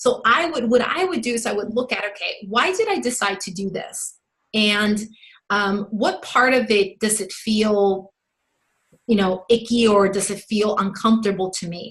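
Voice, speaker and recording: Fairly high-pitched speech from a woman, moderate in pace, its pitch varying in an ordinary way. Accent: Spanish. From Mexico. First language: Spanish. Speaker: sales coach. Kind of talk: podcast interview answer.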